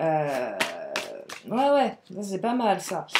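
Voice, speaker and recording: A woman speaks very slowly over noticeable background noise. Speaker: tarot card reader. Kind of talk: tarot reading. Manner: animated.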